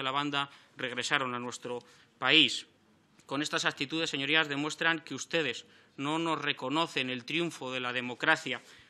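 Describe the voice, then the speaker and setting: The voice belongs to a man with a fairly high pitch and a bright, sharp tone. His intonation stays fairly even. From Spain. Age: 30s. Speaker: member of parliament. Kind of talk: parliamentary speech. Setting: parliament chamber. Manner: formal. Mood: combative, reproachful. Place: meeting room. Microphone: podium.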